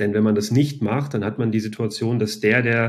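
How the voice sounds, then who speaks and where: With fairly even intonation and a fairly low pitch, a man talks at a fairly quick pace. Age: 40s. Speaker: e-commerce company founder. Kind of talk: interview. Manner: hesitant, many filler sounds.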